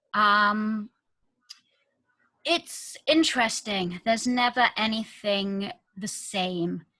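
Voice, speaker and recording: Long, frequent pauses break up a woman's very slow speech in a British accent. Her fairly high voice has a bright, sharp tone and ordinary pitch variation. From UK. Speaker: virtual assistant and business consultant. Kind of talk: interview.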